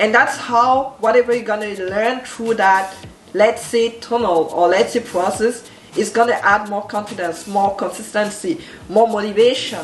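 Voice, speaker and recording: Over noticeable background noise, a woman with a French accent speaks at a moderate pace with ordinary pitch variation. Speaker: entrepreneur and branding coach. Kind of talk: motivational talk to camera.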